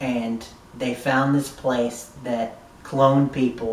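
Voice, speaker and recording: Monotone, flat intonation amid noticeable background noise. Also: man. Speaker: YouTube TV reviewer. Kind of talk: casual video review.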